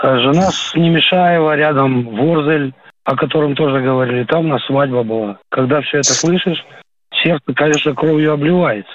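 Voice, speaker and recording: This is an ordinary speaking voice at a moderate pace with ordinary pitch variation. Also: man, fairly high pitch for a man. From Ukraine, Kyiv region. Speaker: retired warrant officer calling in. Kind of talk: radio phone-in call.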